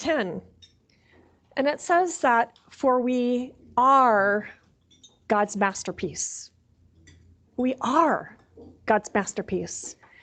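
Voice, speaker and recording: In a Minnesota accent, a woman speaks very slowly at a high pitch with very wide pitch swings against a quiet background. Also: long, frequent pauses. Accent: Minnesota, long vowels. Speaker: chaplain. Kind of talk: sermon.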